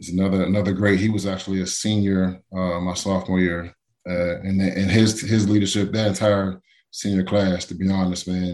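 A man with a very deep, low voice, an American accent, a moderate pace and flat, monotone intonation. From Pittsburgh, Pennsylvania (from age seven). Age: 40s. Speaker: former NFL player. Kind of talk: interview. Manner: casual, many fillers and restarts.

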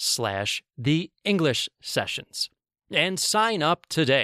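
A man with a fairly high pitch and a bright, sharp tone swings his pitch very widely. The recording is very clean with a silent background and a dry, close sound with no echo. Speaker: English teacher and podcast host. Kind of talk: scripted educational podcast lesson. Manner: clear, slow, formal teaching.

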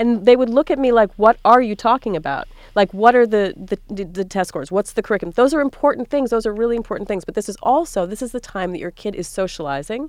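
A woman with an American accent and a fairly high pitch talks at a very fast pace with hardly any pauses. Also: lively intonation. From US, rural small town. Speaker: columnist and author. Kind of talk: casual panel discussion. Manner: halting, many restarts.

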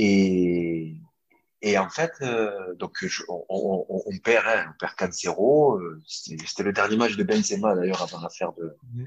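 With lively intonation and a fairly low pitch, a man talks at a very slow pace. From Marseille, southern France. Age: 20s. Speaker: footballer. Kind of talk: interview. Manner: halting.

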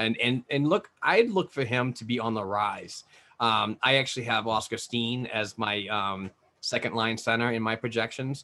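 This man's intonation stays fairly even while his delivery keeps a moderate pace. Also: medium pitch for a man. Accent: New England. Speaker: hockey podcaster and prospects analyst. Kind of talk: casual chat.

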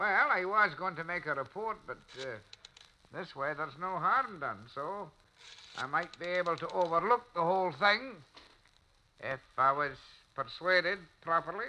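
Putting on a character voice, a man speaks high for a man in a bright, sharp tone, with lively intonation at a fairly slow pace.

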